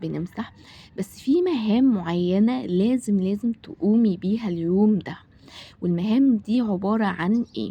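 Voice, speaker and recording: A woman with an Egyptian accent, somewhat breathy, fairly slow, with ordinary pitch variation. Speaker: home vlogger, mother. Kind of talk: casual vlog talk to camera. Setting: home kitchen. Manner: hesitant, many fillers.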